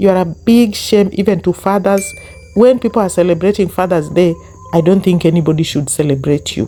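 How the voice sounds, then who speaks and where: With a Kenyan accent and a fairly quick pace, the speaker talks over music in the background. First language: Luo. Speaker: YouTube commentary host. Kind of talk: online commentary rant. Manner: animated.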